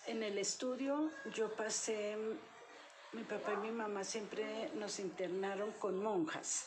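A woman's fairly high voice at a very slow pace, with ordinary pitch variation, audible room echo and noticeable background noise. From Colombia, Boyacá (Pesca), later Bogotá. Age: 70s. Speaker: retired police officer, grandmother. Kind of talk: interview.

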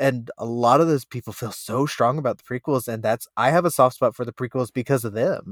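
This man has a normal speaking voice at medium pitch, moving at a fairly quick pace with hardly any pauses. His intonation is fairly even, and the sound is dry and close with no echo. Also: very clean recording, silent background. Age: 30s. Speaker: podcast co-host and editor. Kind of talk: casual chat.

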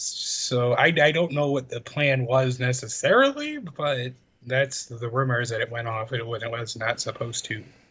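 With an American accent, a man speaks at a moderate pace and medium pitch with fairly even intonation and hardly any pauses. Noticeable background noise runs behind him. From Chicago, US Midwest. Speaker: podcast co-host. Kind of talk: casual chat. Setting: video call.

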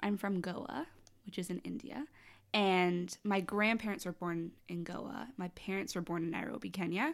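A woman with a normal speaking voice in a Canadian accent, at medium pitch and moderate pace with ordinary pitch variation. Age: 20s. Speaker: R&B singer-songwriter. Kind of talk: casual chat.

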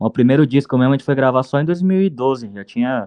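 A man talks with an unremarkable speaking voice. His pace is fairly quick and his intonation lively. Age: 30s. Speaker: football coach, journalist and punk band singer. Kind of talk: casual chat.

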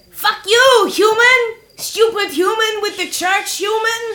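Shouting in a put-on character voice, someone speaks at an extremely high pitch and a fairly slow pace. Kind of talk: crude, angry. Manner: yelling, feral.

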